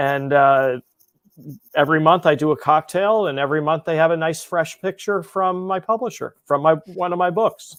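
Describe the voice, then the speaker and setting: A man at a fairly high pitch, speaking at a moderate pace. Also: ordinary pitch variation. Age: 60s. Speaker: mixologist and cocktail book author. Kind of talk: podcast interview. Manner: halting, with frequent repeated words.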